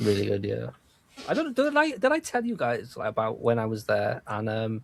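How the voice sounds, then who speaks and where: A man with a Welsh accent at a moderate pace. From Wales. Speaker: podcast co-host. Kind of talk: casual chat.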